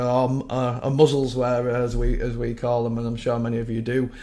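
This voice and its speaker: Monotone, flat delivery from a man with a West Yorkshire accent, medium pitch and moderate pace. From West Yorkshire, England. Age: 40s. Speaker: web developer sharing views. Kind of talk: casual video monologue. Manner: rambly, hesitant. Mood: sad, frustrated. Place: home room. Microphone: webcam.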